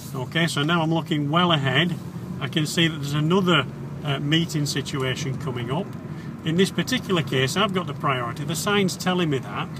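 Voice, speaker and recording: At a fairly quick pace, a man speaks with ordinary pitch variation in a dry sound with no echo, though background noise is noticeable. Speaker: driving instructor. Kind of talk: commentary while driving, tutorial. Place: car.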